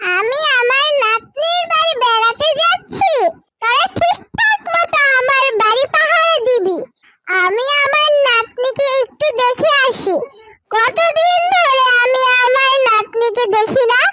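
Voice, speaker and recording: In a cartoonish character voice pitched extremely high, a woman speaks at a fairly slow pace with lively intonation. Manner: gentle, motherly.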